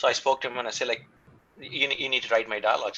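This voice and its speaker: A man speaks with an Indian accent. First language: not English, Indian language. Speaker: film writer and director. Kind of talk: interview. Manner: halting, many fillers.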